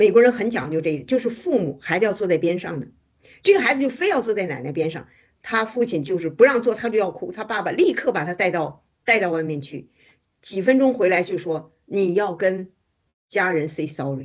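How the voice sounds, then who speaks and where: A woman speaks at a fairly quick pace with lively intonation against a quiet background. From China. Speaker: activist. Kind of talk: casual chat. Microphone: video call.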